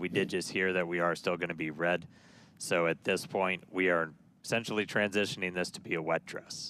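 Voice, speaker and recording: A man puts on a character voice in a very deep, low pitch, raspy and sad in tone. He talks at a fairly quick pace with monotone, flat intonation. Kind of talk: professional live launch commentary. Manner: sad, disappointed.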